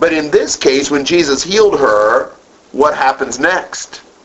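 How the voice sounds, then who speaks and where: A man talks slowly-ish, at a fairly slow pace, his pitch fairly high and his intonation lively, with noticeable background noise around him. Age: 50s. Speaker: Bible class teacher. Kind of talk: Bible study lecture.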